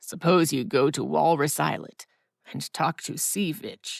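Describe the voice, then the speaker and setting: Put-on character voice, raspy and gruff, at middle pitch. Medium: read story.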